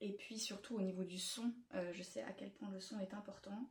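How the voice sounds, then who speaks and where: Slow-ish and somewhat breathy, a woman talks at a medium pitch with a dark, mellow tone. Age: 30s. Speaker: knitting vlogger. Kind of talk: casual vlog chat. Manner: hesitant, many fillers.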